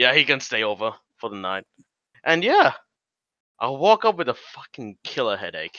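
A man speaks at a moderate pace with long, frequent pauses. His voice makes big swings in loudness and very wide pitch swings. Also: medium pitch for a man. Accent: Australian. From Australia. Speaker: podcast co-host. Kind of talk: casual chat.

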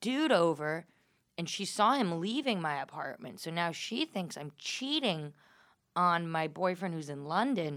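In an American accent, a woman with an unremarkable speaking voice and a fairly low pitch talks at a fairly slow pace on a very clean recording with a silent background. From New York area. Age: 20s. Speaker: comedian and podcast host. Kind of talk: casual chat. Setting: studio.

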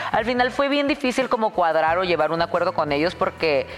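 Music plays behind a woman as she speaks. Her pitch is medium and her pace moderate. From Tijuana, Mexico. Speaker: social media personality and dancer. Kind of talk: casual chat. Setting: studio.

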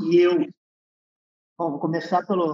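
A man speaks at a high pitch in a Gaúcho Brazilian accent. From interior of Rio Grande do Sul, Uruguay border. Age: 50s. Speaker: entrepreneur, business founder. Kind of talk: interview conversation.

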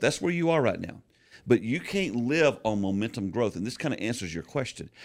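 In a very clean recording with a silent background, a man with an ordinary speaking voice speaks at a medium pitch. He talks at a fairly quick pace with lively intonation. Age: 60s. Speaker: pastor and church consultant. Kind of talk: casual chat.

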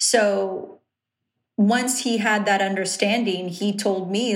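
A woman speaks in a Southern California accent at a medium pitch. Her intonation is fairly even, and the room echo is audible. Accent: Southern California valley-girl sound. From Riverside, Southern California. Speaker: television personality and journalist. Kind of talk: casual interview.

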